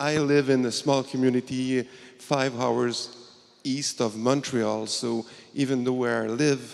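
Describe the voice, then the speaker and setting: Keeping a fairly even intonation, a man speaks at a fairly slow pace and medium pitch. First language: French. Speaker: community pharmacist, audience member. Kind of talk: audience question. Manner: halting.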